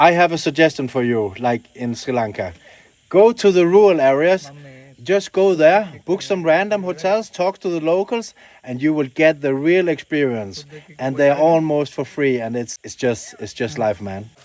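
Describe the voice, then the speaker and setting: Speaking with a non-native accent, a man with a fairly high pitch makes very wide pitch swings at a moderate pace. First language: Danish. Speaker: travel vlogger. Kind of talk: vlog narration. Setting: outdoors. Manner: halting.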